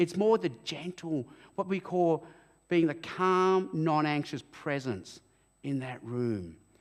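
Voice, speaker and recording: Speaking with an Australian accent, the voice has an animated tone and a fairly slow pace. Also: man. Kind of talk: interview at church event. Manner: loud.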